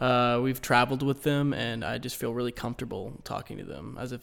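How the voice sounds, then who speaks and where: A man with an American accent has a plain, everyday voice at medium pitch, using ordinary pitch variation. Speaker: engineering student intern. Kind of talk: casual group interview.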